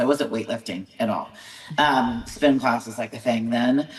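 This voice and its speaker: Noticeable background noise sits behind a woman with an American accent and lively intonation. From California. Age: 40s. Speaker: bodybuilding show promoter and competitor. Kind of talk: podcast interview. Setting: video call.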